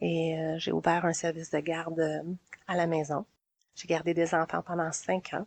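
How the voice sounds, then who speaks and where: A woman speaks at a fairly slow pace in a Quebec accent, her fairly low pitch held in a monotone, flat intonation, with a dry, close sound and no echo. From Quebec, Montreal south shore. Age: 40s. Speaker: community organizer. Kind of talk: interview. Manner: hesitant.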